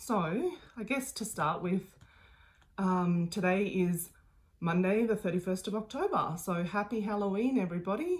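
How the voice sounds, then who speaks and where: Speaking in an Australian accent, a woman uses a medium pitch and ordinary pitch variation. Her moderate-paced voice is somewhat breathy. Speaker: craft video host. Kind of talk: casual video chat. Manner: hesitant, many ums.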